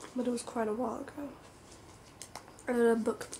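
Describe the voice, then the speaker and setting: Soft-spoken and relaxed in tone, a woman with a fairly high pitch talks against noticeable background noise. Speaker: ASMR video creator. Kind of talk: ASMR soft-spoken talk to camera about comics. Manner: soft-spoken, relaxed.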